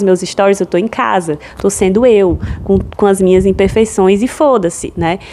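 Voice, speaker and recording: A woman speaks over noticeable background noise. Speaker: podcast host. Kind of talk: solo podcast monologue.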